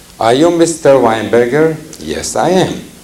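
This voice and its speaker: A man speaks at a fairly slow pace with lively intonation, over noticeable background noise and audible room echo. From Hungary. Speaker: cantor and Holocaust survivor speaker. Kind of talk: public talk to audience. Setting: lecture hall with audience and microphones.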